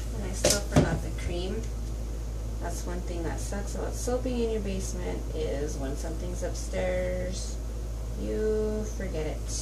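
Loud background noise sits behind speech at a fairly slow pace. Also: woman. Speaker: soap maker. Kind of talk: casual tutorial talk to camera. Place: workshop. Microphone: camera far.

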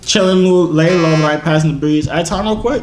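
Ordinary pitch variation comes through with audible room echo. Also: man.

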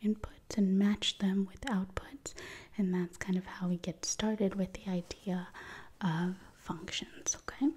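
Soft-spoken and somewhat breathy, a woman with a dark, mellow tone talks at a fairly slow pace with fairly even intonation. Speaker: math tutor. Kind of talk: soft-spoken tutorial. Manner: soft-spoken close-mic ASMR voice. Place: home room. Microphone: studio mic.

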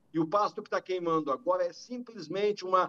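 A man's high-pitched voice with a bright, sharp tone and fairly even intonation, in a dry, close sound with no echo. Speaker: rural union president and farmer. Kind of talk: news interview testimony. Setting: video call.

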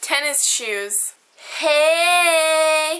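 A woman with an American accent projects a raised voice at an extremely high pitch, her bright, sharp tone swinging very widely in pitch. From United States. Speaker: vlogger. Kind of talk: reading aloud. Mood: playful, smiling. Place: home room. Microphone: webcam.

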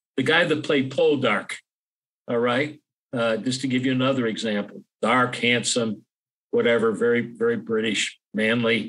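A man talks at a moderate pace in a medium pitch. His pitch varies in an ordinary way while his loudness stays very even. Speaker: historian and author. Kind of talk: interview conversation. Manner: hesitant, many fillers.

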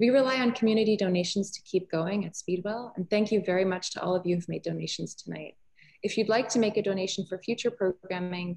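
Over a quiet background, a somewhat breathy woman speaks very fast with ordinary pitch variation. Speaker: gallery host. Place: hall. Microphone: webcam.

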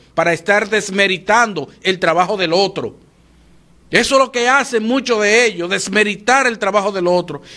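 In a Dominican Cibao accent, a man uses a raised, projected voice with a bright, sharp tone. His pitch is high with ordinary variation, and his pace is moderate. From Dominican Republic. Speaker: TV morning show commentator; TV show host. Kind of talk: opinion commentary. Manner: animated. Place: studio. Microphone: studio mic.

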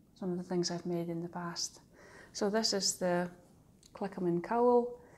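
Over light background noise, a woman talks at a medium pitch with a Shetland accent. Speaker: knitting designer and tutor. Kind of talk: casual podcast talk to camera. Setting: outdoors, breezy. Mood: warm, calm. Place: home room. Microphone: phone near.

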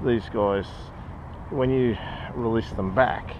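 There is noticeable background noise as a man speaks, and the sound is dry with no echo. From Australia. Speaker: kayak fishing youtuber. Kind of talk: casual tutorial to camera. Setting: outdoors on a kayak. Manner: hesitant, many ums and repeats.

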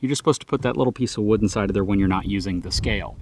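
There is light background noise as a man speaks with ordinary pitch variation. The sound is dry with no echo. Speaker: truck reviewer. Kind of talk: tutorial. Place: open country.

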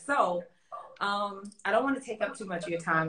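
A woman with an American accent talks at a fairly quick pace. Her pitch varies in an ordinary way over light background noise. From US South (Florida), Jamaican heritage. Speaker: vocal coach and interviewer. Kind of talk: casual interview. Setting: online live stream. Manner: animated. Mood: warm, excited. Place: home room. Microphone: video call.

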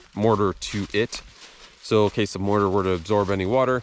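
Against light background noise, a man with a fairly low pitch and ordinary pitch variation is recorded dry with no echo. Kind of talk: casual vlog chat. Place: forest. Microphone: phone near.

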